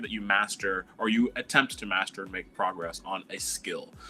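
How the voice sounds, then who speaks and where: The speaker is a man with a fairly low pitch. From Quebec, Montreal. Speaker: animator and illustrator. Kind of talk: panel discussion.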